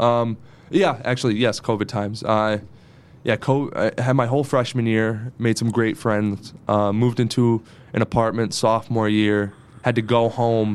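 A man's plain, everyday voice with an American accent, medium pitch, fairly even intonation and a moderate pace. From northeastern Pennsylvania, Dunmore/Scranton area. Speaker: TV news reporter. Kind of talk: casual interview chat.

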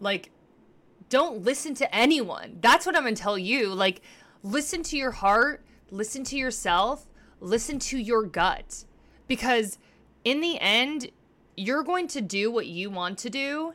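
A woman with a high pitch speaks in a bright, sharp tone with very wide pitch swings. Her pace is fairly slow, with long, frequent pauses. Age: 30s. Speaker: podcaster and live streamer. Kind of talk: casual monologue on a livestream. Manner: casual, filler-heavy.

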